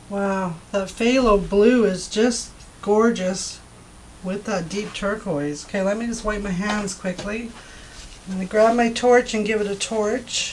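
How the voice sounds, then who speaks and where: Over noticeable background noise and audible room echo, a woman speaks fairly slowly at a medium pitch with fairly even intonation. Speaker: acrylic pour artist. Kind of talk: tutorial. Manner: casual and chatty.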